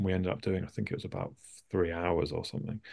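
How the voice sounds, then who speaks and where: With a southern English accent and vocal fry, a man speaks against a quiet background. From London suburbs, England. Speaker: artist and comedian. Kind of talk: casual interview. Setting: video call.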